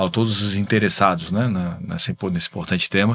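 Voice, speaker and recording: Here is a man with a very deep, low voice. The recording is very clean and the background silent. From Brazil, Florianópolis. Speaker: tech entrepreneur, business association president. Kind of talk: videocast interview.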